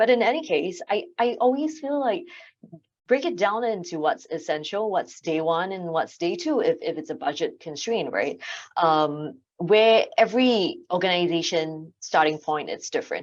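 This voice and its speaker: Her pitch medium and her pace moderate, a woman talks with very wide pitch swings. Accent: Singaporean. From Singapore. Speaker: AV consultant. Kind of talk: panel discussion. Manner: hesitant, many fillers.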